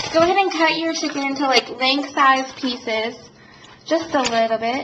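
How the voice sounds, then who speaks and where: A woman's high voice at a moderate pace with ordinary pitch variation, amid noticeable background noise and audible room echo. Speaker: home cooking video host. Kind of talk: cooking tutorial. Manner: casual, many fillers.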